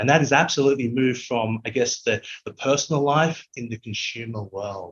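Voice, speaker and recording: A man's somewhat breathy voice with an Australian accent and big swings in loudness. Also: medium pitch for a man, ordinary pitch variation, fairly quick pace. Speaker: technology executive. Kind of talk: interview.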